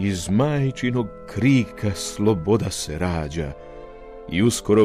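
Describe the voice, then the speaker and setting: Over music in the background, a man speaks with a very deep, low pitch and a solemn tone. His pace is very slow, with lively intonation. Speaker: television announcer. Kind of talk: poetry reading. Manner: solemn, measured.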